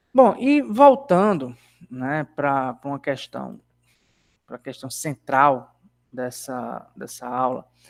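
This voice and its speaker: The sound is dry and close with no echo, as a man speaks with big swings in loudness. He goes at a very slow pace with long, frequent pauses. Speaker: university lecturer. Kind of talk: online lecture.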